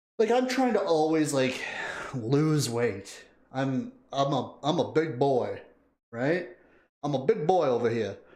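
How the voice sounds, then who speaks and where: A man with fairly high pitch and very wide pitch swings talks at a fairly slow pace with long, frequent pauses, amid audible room echo. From Canada. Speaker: music video reactor, streamer. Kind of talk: casual livestream chat. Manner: animated.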